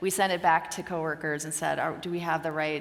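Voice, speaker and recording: Amid noticeable background noise and audible room echo, a woman with a Pacific Northwest accent talks at a very fast pace in a fairly low pitch. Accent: American (Pacific Northwest). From US, Oregon. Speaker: company executive, conference speaker. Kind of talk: conference Q&A.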